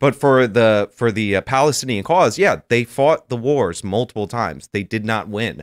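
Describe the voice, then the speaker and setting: An unremarkable speaking voice from a man, fairly low in pitch, with ordinary pitch variation and a moderate pace against a quiet background. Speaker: YouTuber; podcast co-host. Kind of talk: casual panel talk show. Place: studio. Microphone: studio mic.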